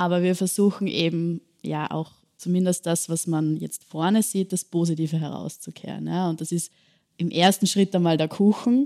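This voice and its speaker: In an Austrian accent, a woman speaks with fairly even intonation, a fairly low pitch and a dark, mellow tone, on a very clean recording with a silent background and a dry, close sound with no echo. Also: moderate pace. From Austria, Bad Ischl (Upper Austria). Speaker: social entrepreneur, café co-founder. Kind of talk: interview.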